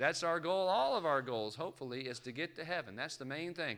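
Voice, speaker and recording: Here a man talks at a fairly quick pace. His tone is bright and sharp, with lively intonation. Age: 40s. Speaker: guest preacher at a gospel meeting. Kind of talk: sermon. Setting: church.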